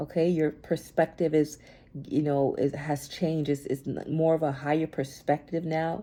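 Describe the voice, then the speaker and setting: Monotone and flat, a woman with a very deep, low pitch and a dark, mellow tone talks at a moderate pace. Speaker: tarot reader. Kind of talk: collective tarot reading. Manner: repetitive, stammering.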